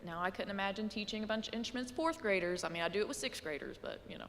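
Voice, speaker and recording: The voice is loud, with a bright, sharp tone. Its intonation is lively. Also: woman. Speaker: middle school band teacher. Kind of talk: presentation to a school board. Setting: board meeting room with microphone. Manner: casual, chatty.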